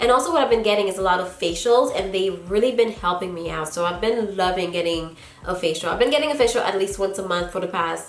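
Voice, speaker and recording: A woman talks very fast with hardly any pauses and ordinary pitch variation. There is audible room echo and noticeable background noise. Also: medium pitch for a woman. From Haiti. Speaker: YouTuber, natural hair vlogger. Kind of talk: casual Q&A vlog.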